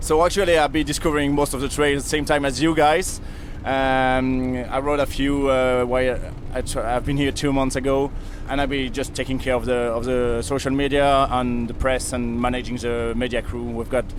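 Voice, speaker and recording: Over noticeable background noise and audible room echo, someone speaks at a moderate pace with a French accent and flat, monotone intonation. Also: man, medium pitch for a man. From France. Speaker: event media manager. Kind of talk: interview. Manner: hesitant, filler-heavy.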